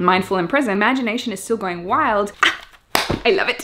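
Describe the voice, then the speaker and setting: A woman at a very fast pace with lively intonation, over noticeable background noise. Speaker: lifestyle vlogger. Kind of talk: vlog diary. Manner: animated.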